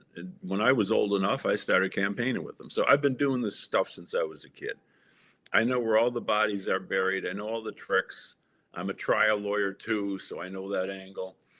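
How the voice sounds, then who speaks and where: A man talks with a fairly low pitch and fairly even intonation. It is a plain, everyday voice. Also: fairly quick pace. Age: 60s. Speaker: lawyer and party chair candidate. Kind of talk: interview.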